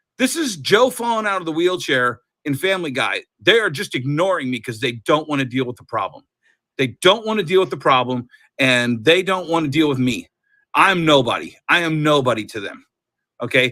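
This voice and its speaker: A loud man's fairly high voice at a fairly quick pace, animated, bright and sharp in tone with very wide pitch swings, in a very clean recording with a silent background. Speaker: comic book seller. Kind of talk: casual chat. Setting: live stream.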